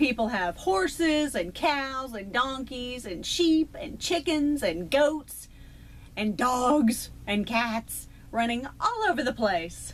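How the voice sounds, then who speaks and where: The speaker talks at a very slow pace in a Texan accent. Their pitch swings very widely. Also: woman, high pitch for a woman. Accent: Texan, still present. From Texas. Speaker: YouTuber. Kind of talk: casual vlog talk to camera.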